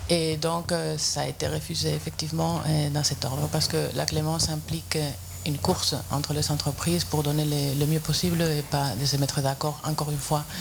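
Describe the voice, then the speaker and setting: A man with a Spanish accent speaks at a moderate pace and very even loudness, with audible room echo and noticeable background noise. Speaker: competition official. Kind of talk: panel discussion. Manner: halting.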